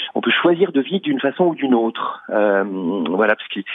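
A man is speaking. His pitch swings very widely. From Paris suburbs, France. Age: 50s. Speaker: magician. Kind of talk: radio interview. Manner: halting, many repetitions.

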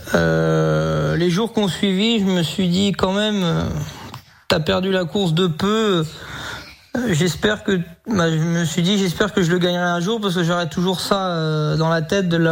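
A man speaks at a high pitch and a fairly slow pace, his loudness very even. Noticeable background noise runs underneath. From France, Sarthe. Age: 20s. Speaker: harness racing driver and jockey. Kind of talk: radio interview. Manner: hesitant, many fillers.

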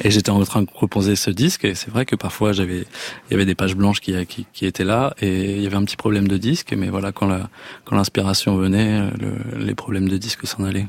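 At a fairly quick pace, a man speaks with a fairly low pitch and monotone, flat intonation. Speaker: singer. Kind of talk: casual chat. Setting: studio. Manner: halting.

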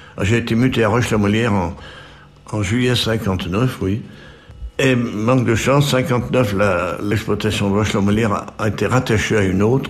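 A man with fairly low pitch speaks at a fairly slow pace, leaving long, frequent pauses at very even loudness. Audible room echo and noticeable background noise surround him. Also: ordinary pitch variation. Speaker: retired mining engineer. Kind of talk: oral history testimony. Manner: halting, many repetitions.

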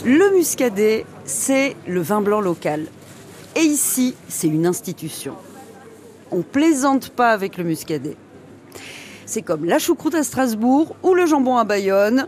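A woman talks at a very slow pace with long, frequent pauses and a fairly high pitch. Her pitch swings very widely, and there is noticeable background noise. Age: 40s. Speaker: radio reporter. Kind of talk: radio documentary narration and street interviews. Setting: outdoor market.

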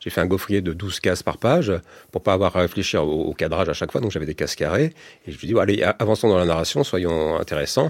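Over a silent background in a very clean recording, a man talks at a very fast pace with ordinary pitch variation. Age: 50s. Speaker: comics author and illustrator. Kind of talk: radio interview. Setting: radio studio. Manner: halting, many repetitions.

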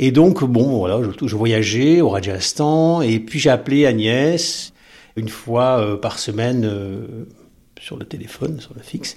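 Ordinary pitch variation marks this man's speech, which unfolds at a very slow pace. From southern France coast. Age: 50s. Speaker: teacher. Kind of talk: testimony.

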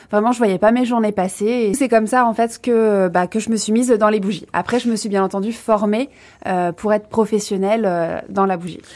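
A plain, everyday voice from a woman, fairly high in pitch, with ordinary pitch variation at a moderate pace. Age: 30s. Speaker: candle maker. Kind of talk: radio interview.

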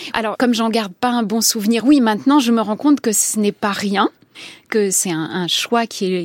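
Moderately paced speech from a woman, dry and close with no echo. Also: fairly high pitch for a woman, ordinary pitch variation. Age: 50s. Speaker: novelist and journalist. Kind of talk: interview. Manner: halting.

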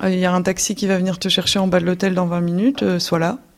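Noticeable background noise sits behind a woman's voice. Her pitch is medium and her intonation fairly even. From Belgium. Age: 20s. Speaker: former ISIS member, returnee. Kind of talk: testimony. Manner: halting.

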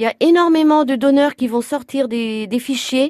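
A woman speaks in a high voice at a fairly slow pace, with ordinary pitch variation. The sound is dry and close, with no echo. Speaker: blood donation volunteer. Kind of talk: interview. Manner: halting.

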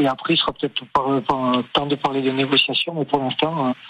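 There is noticeable background noise behind a man as he talks. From Bayonne, French Basque Country. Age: 50s. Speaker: rugby coach. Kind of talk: radio interview. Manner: halting, many repetitions.

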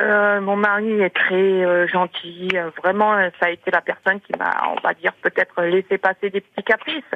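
A woman in an ordinary speaking voice, medium in pitch, with fairly even intonation at a fairly slow pace. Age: 50s. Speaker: radio caller. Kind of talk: phone testimony.

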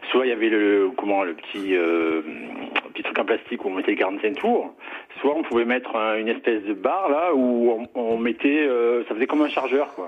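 A man at a medium pitch and moderate pace, with noticeable background noise. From Ariège, southern France. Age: 50s. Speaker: caller. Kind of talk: radio phone-in.

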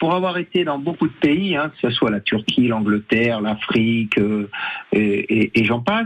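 Over music in the background, a man with a medium pitch speaks fairly slowly with lively intonation. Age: 60s. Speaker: football coach, former pro player. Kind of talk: radio interview.

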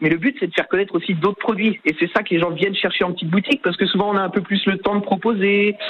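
Noticeable background noise accompanies a man whose high pitch shows ordinary variation. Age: 30s. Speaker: fishmonger. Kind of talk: radio interview.

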